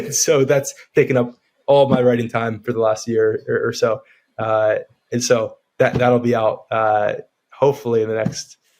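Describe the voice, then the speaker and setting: A man with a slight New York accent speaks at a moderate pace, leaving long, frequent pauses. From New York area, US. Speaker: real estate developer and writer. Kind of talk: interview.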